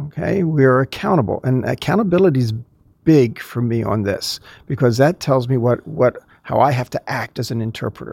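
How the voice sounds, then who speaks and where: A man talks at a fairly quick pace in a normal speaking voice with lively intonation. The sound is dry and close, with no echo. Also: medium pitch for a man. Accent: American. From US Northeast, suburbs of Philadelphia. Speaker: professor of Old Testament. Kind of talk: interview.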